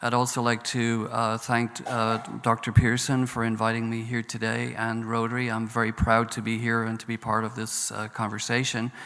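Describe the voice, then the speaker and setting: A man with a Northern Irish accent talks at a moderate pace in a bright, sharp tone. His intonation stays flat and monotone. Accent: Northern Irish brogue. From Northern Ireland. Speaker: professor, peace studies centre director. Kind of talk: panel talk. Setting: conference stage with audience.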